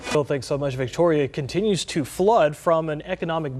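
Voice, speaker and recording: Over noticeable background noise, a man with an American accent talks at a fairly quick pace with ordinary pitch variation. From Texas. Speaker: TV news anchor. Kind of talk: news reading.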